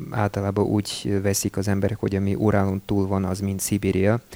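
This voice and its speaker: Noticeable background noise surrounds a man's fairly low voice. He speaks with monotone, flat intonation. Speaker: radio host. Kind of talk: interview with live interpreting. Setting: radio studio. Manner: halting, many fillers.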